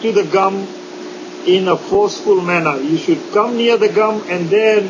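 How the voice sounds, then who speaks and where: Against noticeable background noise, a man speaks in a high voice at a moderate pace. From India. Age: 60s. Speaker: dentist. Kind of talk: interview. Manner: halting.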